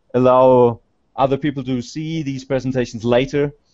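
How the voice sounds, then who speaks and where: A man talks at a medium pitch with a German accent. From Germany. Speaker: conference speaker, researcher. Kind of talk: conference presentation. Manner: halting. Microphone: slow connection, echo.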